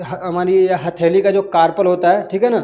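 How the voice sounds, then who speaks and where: In a monotone, flat delivery, a man talks at a high pitch. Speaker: teacher. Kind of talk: lecture. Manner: conversational with frequent fillers.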